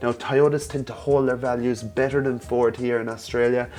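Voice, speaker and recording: Music plays in the background as a man speaks. His voice sits at a medium pitch with ordinary variation. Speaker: car reviewer. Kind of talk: tutorial. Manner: casual.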